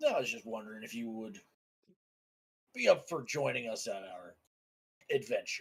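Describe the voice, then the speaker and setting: A raspy, put-on character voice moves at a moderate pace. Long, frequent pauses break up the speech. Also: man, medium pitch for a man. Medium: actual play.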